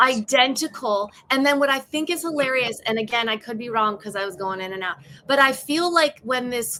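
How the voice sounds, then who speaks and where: A woman with a strong Chicago accent talks fairly quickly in an animated, bright, sharp tone, her pitch high, her intonation lively and her loudness swinging widely. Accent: bold Chicago. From south side of Chicago. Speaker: stand-up comedian and actress. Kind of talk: podcast discussion. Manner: animated, casual.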